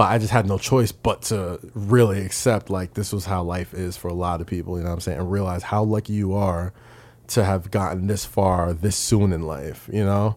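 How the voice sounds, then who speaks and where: With a New York accent, a man speaks at a moderate pace in a very deep, low pitch and fairly even intonation, on a very clean recording with a silent background. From New York, Staten Island. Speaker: podcaster and wrestling writer. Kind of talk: casual interview chat. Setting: studio.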